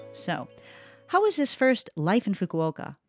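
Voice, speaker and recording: A woman's voice, dry and close with no echo, on a very clean recording against a silent background. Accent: Midwestern American. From US Midwest, Detroit, Michigan. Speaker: radio DJ. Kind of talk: radio program hosting.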